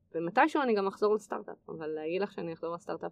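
Very fast speech from a woman with vocal fry and lively intonation. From Israel, Nesher. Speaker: tech entrepreneur. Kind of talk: interview.

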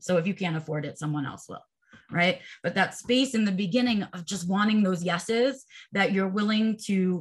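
Speaking at a moderate pace, this woman has an unremarkable speaking voice and ordinary pitch variation. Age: 40s. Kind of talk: casual interview.

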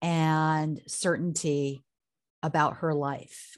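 Against a quiet background, a woman with a fairly low pitch speaks very slowly and with fairly even intonation. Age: 50s. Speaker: career coach and company founder. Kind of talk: casual interview.

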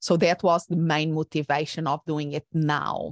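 The voice comes with a Portuguese accent. It is a very clean recording with a silent background. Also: woman, dry, close sound with no echo. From Portugal. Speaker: coach and former therapist. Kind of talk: interview. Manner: halting.

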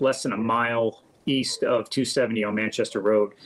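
A man with a plain, everyday voice, medium pitch, fairly even intonation, and a moderate pace. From US Midwest, St. Charles, Missouri. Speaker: electrical contractor. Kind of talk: interview.

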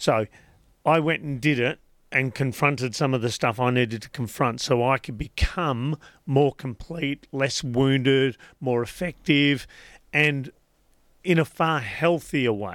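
A man with a plain, everyday voice talks at a fairly slow pace with ordinary pitch variation on a very clean recording with a silent background. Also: medium pitch for a man. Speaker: life coach podcaster guest. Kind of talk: radio interview. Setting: radio studio.

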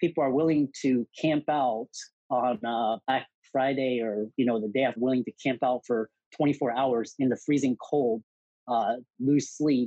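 This man has a plain, everyday voice with an American accent, medium pitch and fairly even intonation, and he speaks at a fairly slow pace. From US South, Houston, Texas. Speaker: physician and entrepreneur. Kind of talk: interview.

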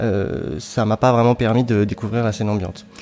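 A man's medium-pitched voice at a moderate pace, with noticeable background noise behind it. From France, southern Brittany. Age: 30s. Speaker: electronic music composer and sound designer. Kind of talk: interview. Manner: halting.

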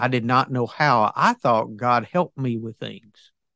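A man's medium-pitched voice in a Southern US accent, bright and sharp in tone with ordinary pitch variation, dry and close with no echo against a quiet background. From US South. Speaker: businessman and author. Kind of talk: casual interview chat. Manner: halting, filler-heavy.

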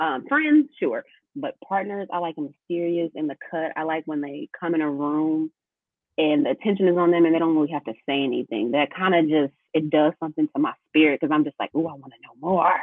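A woman's very deep, low voice at a fairly quick pace, with ordinary pitch variation and big swings in loudness. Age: 30s. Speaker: podcast co-host. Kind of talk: casual chat between friends.

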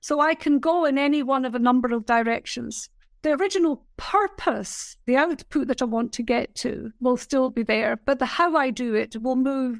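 A woman's high-pitched voice at a moderate pace, with ordinary pitch variation, in a very clean recording with a silent background. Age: 70s. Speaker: business mentor. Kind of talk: casual interview.

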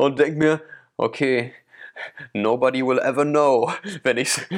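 A man speaks slowly, fairly so, in a medium pitch. His intonation is monotone and flat, with long, frequent pauses. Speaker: podcast co-host. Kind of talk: casual chat. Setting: remote call from separate locations.

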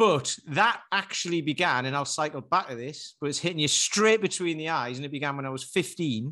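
Speaking with a Geordie accent and a bright, sharp tone, a man talks at a fairly quick pace with hardly any pauses, fairly high in pitch with ordinary pitch variation, over a quiet background. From northern England, Newcastle. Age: 40s. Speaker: personal trainer. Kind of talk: casual chat.

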